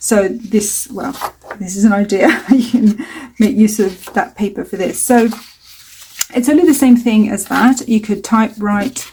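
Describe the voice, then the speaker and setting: A woman talks at a fairly high pitch with ordinary pitch variation. She leaves long, frequent pauses, and there is noticeable background noise. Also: fairly slow pace. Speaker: mixed media artist. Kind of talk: tutorial. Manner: casual, hesitant with many fillers.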